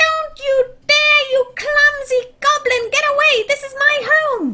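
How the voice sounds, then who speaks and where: Using a put-on character voice at an extremely high pitch, the speaker goes at a fairly slow pace. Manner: horrible, alarmed.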